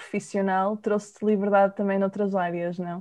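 Monotone, flat intonation at a moderate pace over a quiet background. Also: woman. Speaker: podcast host and nutritionist. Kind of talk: interview.

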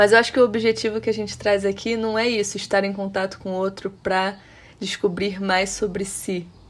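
Her medium-pitched voice stays monotone and flat as the woman speaks at a moderate pace. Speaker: podcast co-host. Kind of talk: casual conversation.

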